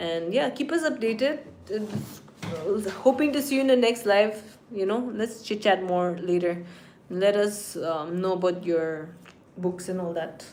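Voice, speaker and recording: A woman speaks at a medium pitch and a fairly slow pace with lively intonation. Noticeable background noise and audible room echo surround her voice. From Nagaland, northeast India. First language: Nagamese. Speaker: streamer. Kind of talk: casual live stream chat. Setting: live stream at home.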